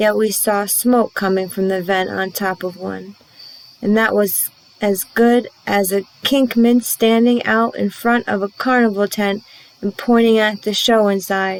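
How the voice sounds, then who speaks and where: In a put-on character voice, the speaker drawls at a fairly slow pace with a monotone, flat intonation. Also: woman. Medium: read story. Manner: folksy, drawling dialect.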